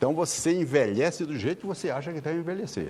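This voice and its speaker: A man speaks with vocal fry. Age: 70s. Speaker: lawyer and elderly rights advocate. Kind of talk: TV interview. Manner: repetitive stammering starts.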